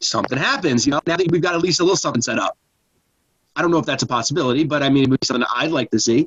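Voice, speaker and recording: A man speaks at a very fast pace with a fairly high pitch and ordinary pitch variation. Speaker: podcast guest. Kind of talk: casual chat. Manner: loud; halting.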